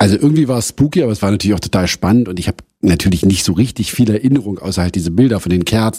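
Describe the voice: A man speaks fast in a fairly low pitch. His tone is dark and mellow with a slightly husky edge.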